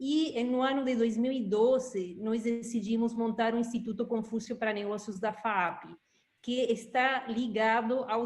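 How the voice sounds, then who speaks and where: The woman's voice sits fairly high, with fairly even intonation. She speaks at a fairly slow pace. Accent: Uruguayan. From Uruguay. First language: Spanish (speaking Portuguese). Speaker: institute director. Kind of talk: interview.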